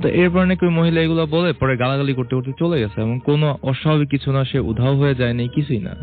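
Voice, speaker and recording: With music in the background, a man speaks at a fairly high pitch with ordinary pitch variation and very even loudness. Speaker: guest telling a supernatural story. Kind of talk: casual conversational storytelling about a relative's experience. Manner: conversational, mixes English words.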